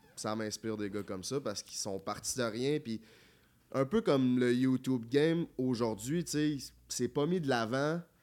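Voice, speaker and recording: Ordinary pitch variation in an ordinary speaking voice, delivered at a moderate pace. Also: man, medium pitch for a man, very clean recording, silent background. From Quebec City area (Charny). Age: 20s. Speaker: YouTuber. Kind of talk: casual chat.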